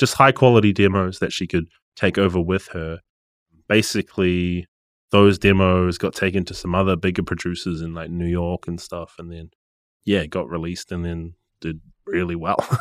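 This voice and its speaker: A man with a New Zealand accent and a very deep, low pitch speaks at a moderate pace with fairly even intonation and big swings in loudness, in a very clean, dry, close recording with a silent background and no echo. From New Zealand, Gisborne. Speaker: music producer and studio manager. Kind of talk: casual interview.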